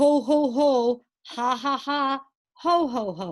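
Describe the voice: A woman's put-on character voice, high-pitched and very slow.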